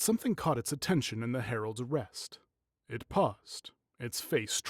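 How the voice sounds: Background sound stays quiet. Over it comes a natural reading voice.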